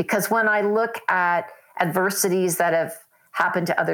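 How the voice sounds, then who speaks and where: An ordinary speaking voice with an American accent moves at a moderate pace with fairly even intonation on a very clean recording with a silent background. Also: woman. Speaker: storyteller and podcaster. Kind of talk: interview.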